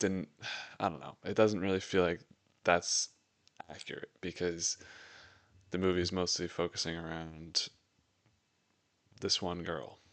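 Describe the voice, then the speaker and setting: Very deep and low, a man's voice moves at a fairly slow pace in a monotone, flat intonation with long, frequent pauses. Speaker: podcast movie reviewer. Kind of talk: movie review monologue. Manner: casual, hesitant with fillers.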